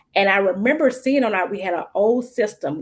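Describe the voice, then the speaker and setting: A woman speaks with a Mississippi accent at a fairly quick pace. Her pitch is medium. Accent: Mississippi Southern. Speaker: social worker. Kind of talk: panel discussion. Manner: casual, halting.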